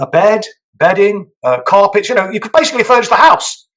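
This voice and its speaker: A man speaks with an English accent. His pace is very fast. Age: 60s. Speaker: politician. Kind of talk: interview. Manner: hesitant, many fillers.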